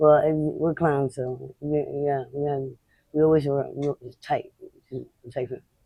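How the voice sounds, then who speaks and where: A woman with an American accent speaks in a very deep, low pitch with monotone, flat intonation. She leaves long, frequent pauses. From Boston. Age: 40s. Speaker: homeless woman interviewee. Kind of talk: street interview. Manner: fast, halting with repetitions.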